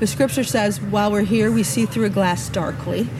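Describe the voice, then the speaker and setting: A woman with a fairly low pitch talks at a moderate pace with very wide pitch swings, over noticeable background noise. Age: 50s. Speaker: podcast host. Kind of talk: casual chat. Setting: outdoors.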